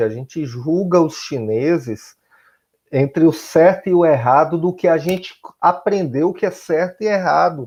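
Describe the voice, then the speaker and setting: A man speaks in a high pitch with lively intonation and a dark, mellow tone against a quiet background. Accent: Bahian. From Bahia, Brazil. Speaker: high school teacher. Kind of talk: recorded class lesson.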